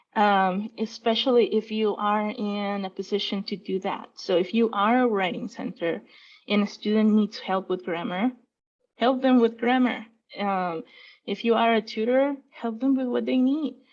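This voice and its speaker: A woman speaks at a moderate pace with a Spanish accent, her fairly high pitch showing ordinary variation over a quiet background. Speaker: student affairs staff member, panelist. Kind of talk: panel discussion. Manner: hesitant, many fillers.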